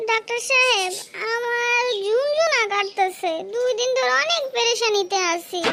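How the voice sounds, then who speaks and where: Loud background noise surrounds a cartoonish character voice pitched extremely high, delivered at a moderate pace. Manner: insistent, whiny.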